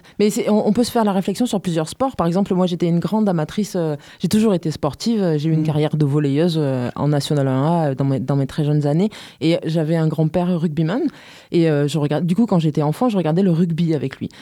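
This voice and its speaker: A woman with a plain, everyday voice speaks at a fairly quick pace and fairly low pitch. Her loudness stays very even, and her pitch varies in an ordinary way. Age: 30s. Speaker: amateur women's futsal player, association member. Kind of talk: radio interview. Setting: radio studio.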